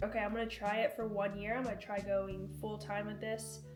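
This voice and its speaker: The speech races along at a very fast pace, with audible room echo and noticeable background noise. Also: woman. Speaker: golf content creator. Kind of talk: casual Q&A chat. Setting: sitting on a couch at home. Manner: casual, filler-heavy.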